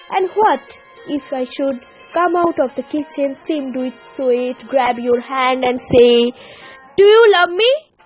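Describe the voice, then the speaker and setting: Over music in the background, a woman with a high pitch talks at a fairly slow pace using lively intonation. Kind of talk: poetry reading.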